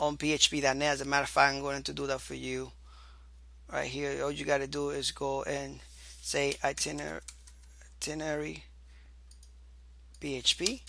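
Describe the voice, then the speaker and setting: Long, frequent pauses at a moderate pace, in a non-native accent. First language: not English. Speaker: programming instructor. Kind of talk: tutorial. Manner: halting.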